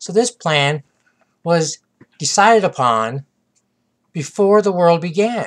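A high-pitched man at a very slow pace, with lively intonation and long, frequent pauses. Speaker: pastor. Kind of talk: sermon.

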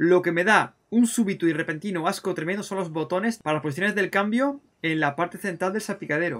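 This man's pitch is high and his pace fairly quick. The background stays quiet. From Spain. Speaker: gaming YouTuber. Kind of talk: gameplay commentary. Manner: animated. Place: home room.

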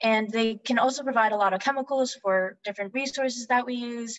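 Ordinary pitch variation in a woman's speech. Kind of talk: lecture. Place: home room. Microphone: webcam.

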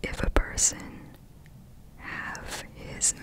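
Someone whispers softly in a dry sound with no echo. Loud noise fills the background. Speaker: reader of an old superstition book. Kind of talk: reading aloud with casual comments. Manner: soft ASMR whisper reading aloud.

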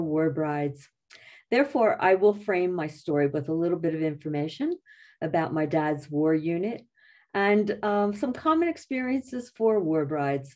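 A woman with a fairly low pitch and a dark, mellow tone talks at a moderate pace. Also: quiet background. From Philadelphia area, USA. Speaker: retired English teacher. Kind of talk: history talk. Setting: video call. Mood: calm, warm storytelling. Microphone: video call.

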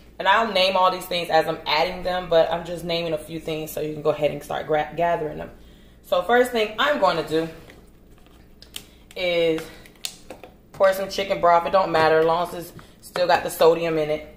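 Speaking at a moderate pace with fairly even intonation, a woman uses a fairly low pitch and takes long, frequent pauses. Audible room echo surrounds her voice. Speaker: home cook host. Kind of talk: cooking tutorial. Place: kitchen. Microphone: camera far.

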